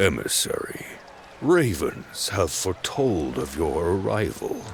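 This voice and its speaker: A man speaks at a fairly slow pace in a put-on character voice, with clear background noise behind him. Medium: video game. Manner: severe with a tinge of mockery.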